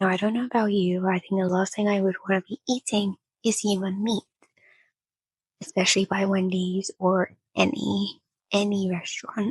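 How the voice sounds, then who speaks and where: Somewhat breathy, a woman speaks with fairly even intonation and long, frequent pauses. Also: medium pitch for a woman, moderate pace, dry, close sound with no echo. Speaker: reaction youtuber. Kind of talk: casual reaction commentary. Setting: in bed at home. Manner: whispering at times.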